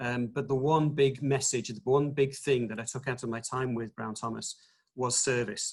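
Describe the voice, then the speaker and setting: With an English accent, a man speaks at medium pitch and a moderate pace. His voice is somewhat breathy, with fairly even intonation. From England, Nottingham. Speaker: retail executive. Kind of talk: webinar presentation. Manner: hesitant, many fillers.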